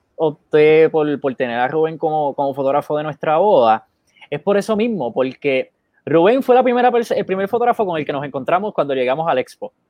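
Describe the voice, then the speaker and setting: At a moderate pace, a man speaks in a fairly high pitch that swings very widely. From Puerto Rico, Bayamón. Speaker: photographer and co-host. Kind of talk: casual chat. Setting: Facebook live stream.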